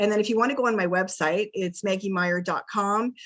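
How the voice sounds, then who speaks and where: Her intonation fairly even, a woman talks at medium pitch and a moderate pace in an unremarkable speaking voice. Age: 50s. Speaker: wellness coach. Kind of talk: interview on a video call.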